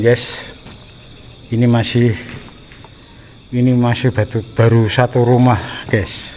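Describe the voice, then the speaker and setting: A man talks at a medium pitch with very even loudness and flat, monotone intonation. Long, frequent pauses break it up over noticeable background noise. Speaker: horror explorer vlogger. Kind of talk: walkthrough vlog narration. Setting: exploring an abandoned house.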